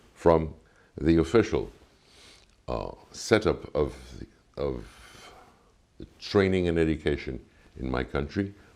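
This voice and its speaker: With vocal fry and a very deep, low pitch, a man speaks in lively intonation. His loudness swings widely, and he leaves long, frequent pauses. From Cuba. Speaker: ambassador. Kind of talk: interview. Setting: embassy. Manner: formal.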